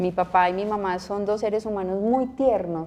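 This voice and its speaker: In a strong paisa accent, a woman speaks at a moderate pace with fairly even intonation. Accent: paisa (Antioquia), strong. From Colombia, Medellín (Antioquia). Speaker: nun and school principal. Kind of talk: interview conversation.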